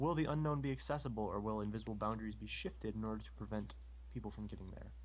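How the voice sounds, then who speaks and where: Audible room echo surrounds a man talking at a very fast pace. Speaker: live stream co-host reading viewer questions. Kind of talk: casual live stream chat. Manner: stutter.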